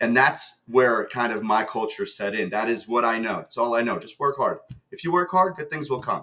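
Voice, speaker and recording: A man with a New Jersey accent, medium pitch, a bright, sharp tone and a moderate pace. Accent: American, New Jersey. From New Jersey, US (moved from Ukraine at seven). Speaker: sales executive. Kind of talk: podcast interview.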